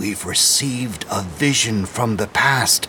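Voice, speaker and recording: A man puts on a character voice at a medium pitch. He talks at a fairly slow pace over clear background noise. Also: ordinary pitch variation. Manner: awestruck.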